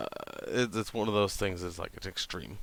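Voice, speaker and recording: This man has a fairly low pitch. He speaks with an American accent. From New Hampshire. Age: 30s. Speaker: vlogger. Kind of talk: channel introduction monologue. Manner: monotone; hesitant, many fillers.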